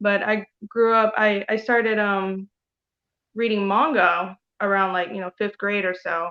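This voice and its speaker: In a normal speaking voice with an American accent, a woman speaks at medium pitch, fairly slowly, with fairly even intonation. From Taiwan. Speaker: comic artist. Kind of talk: casual chat.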